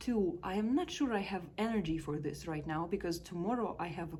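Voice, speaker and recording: A woman with a Russian accent speaks at a fairly quick pace and fairly low pitch amid audible room echo. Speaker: life coach. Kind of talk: personal reflection vlog. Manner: casual, with hesitations.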